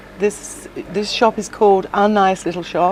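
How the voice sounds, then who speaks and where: A woman at a very slow pace with fairly even intonation, over noticeable background noise. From South Pacific Islands. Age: 60s. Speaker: shop owner. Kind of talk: interview.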